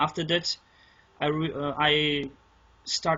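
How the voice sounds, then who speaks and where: Speaking with a non-native accent, a man uses a fairly high pitch and monotone, flat intonation at a fairly slow pace. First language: not English. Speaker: interviewee on spiritual experience. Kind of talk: interview. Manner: halting, many false starts.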